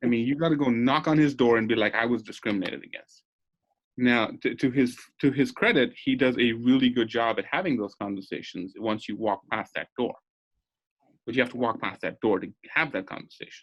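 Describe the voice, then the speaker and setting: Fairly quick pace with ordinary pitch variation. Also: man, medium pitch for a man. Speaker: law student. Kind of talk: casual chat. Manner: careful enunciation; halting, many restarts.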